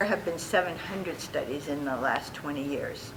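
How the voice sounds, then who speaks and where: Noticeable background noise and audible room echo surround a woman speaking at a moderate pace with a very deep, low pitch. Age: 70s. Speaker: tai chi teacher. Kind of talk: interview.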